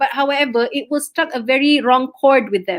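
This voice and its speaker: A woman with a Malaysian accent speaks at a fairly quick pace. Her pitch is high. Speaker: business communication coach. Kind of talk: webinar talk to students. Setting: livestream. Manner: lively, code-switching.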